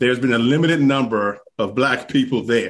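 The speaker has a plain, everyday voice, with ordinary pitch variation at a moderate pace. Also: man. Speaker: golf podcast co-host. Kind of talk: casual chat. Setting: video call.

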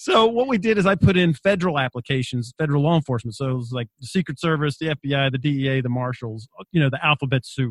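Very fast and lively, a man's fairly high, somewhat breathy voice with hardly any pauses, in a dry, close sound with no echo. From Australia, Wagga Wagga, New South Wales. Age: 50s. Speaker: author and parenting coach, former Marine and federal agent. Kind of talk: interview.

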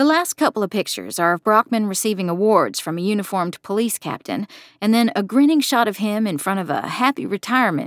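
The clip is someone reading aloud. It is done in a natural voice.

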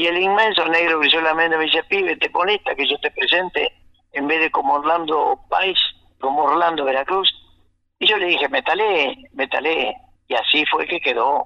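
This man speaks at a moderate pace, his high pitch carried by lively intonation. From Argentina, Santa Fe province. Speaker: folk singer. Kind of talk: radio interview.

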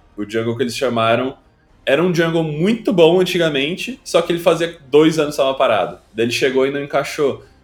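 A fairly high-pitched man with lively intonation at a fairly quick pace, music in the background. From Brazil, Rio Grande do Sul. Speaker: streamer and former pro gamer. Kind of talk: casual interview chat.

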